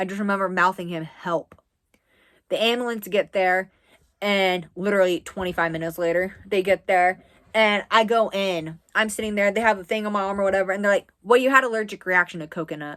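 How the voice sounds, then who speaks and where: In an American accent, a woman with an unremarkable speaking voice talks at a fairly quick pace with medium pitch and fairly even intonation. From US East Coast. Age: 20s. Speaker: social media creator. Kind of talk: casual story time to camera.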